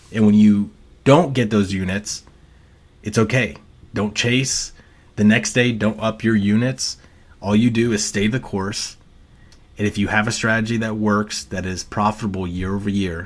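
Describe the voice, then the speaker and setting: A man with a fairly low voice speaks at a moderate pace, his intonation fairly even and broken by long, frequent pauses. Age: 30s. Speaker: sports betting analyst. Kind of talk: casual monologue. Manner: casual, filler-heavy with repetitions.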